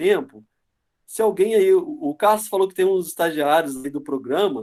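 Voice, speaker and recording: The speaker uses a Rio Grande do Sul accent, with lively intonation and a fairly quick pace. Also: man. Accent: southern Brazilian (Dom Pedrito). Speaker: university professor, guest lecturer. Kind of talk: online lecture. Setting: video call webinar.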